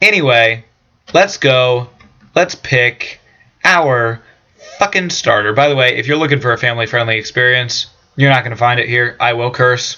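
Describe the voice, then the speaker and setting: Long, frequent pauses with ordinary pitch variation. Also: man, medium pitch for a man. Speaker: gaming youtuber. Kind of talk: let's play commentary. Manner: fast; casual, hesitant fillers.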